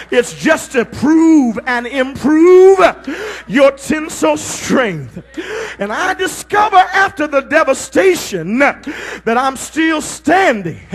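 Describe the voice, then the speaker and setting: Over noticeable background noise, a man with an extremely high pitch talks at a very slow pace, his pitch swinging very widely. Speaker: pastor. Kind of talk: sermon preaching, call-and-response with congregation. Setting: live church congregation. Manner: rhythmic, emphatic, punctuated with 'uh'.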